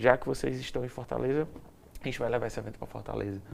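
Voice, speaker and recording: The speaker has a strong Ceará accent. The pace is very fast. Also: man. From Ceará, Brazil. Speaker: event production company CEO. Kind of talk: interview.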